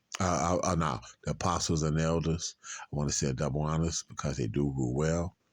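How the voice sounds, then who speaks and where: On a very clean recording with a silent background, a man with a very deep, low voice talks at a fairly quick pace, with fairly even intonation and very even loudness. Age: 60s. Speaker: street preacher. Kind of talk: religious commentary. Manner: halting, repetitive.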